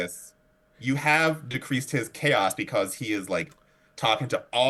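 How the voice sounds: What comes through is a natural reading voice.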